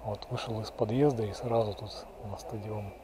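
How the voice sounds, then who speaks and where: Over noticeable background noise, a man talks at a fairly slow pace in a flat, monotone delivery, the sound dry with no echo. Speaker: local walking guide. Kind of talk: casual walking commentary. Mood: nostalgic, calm. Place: street. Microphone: phone near.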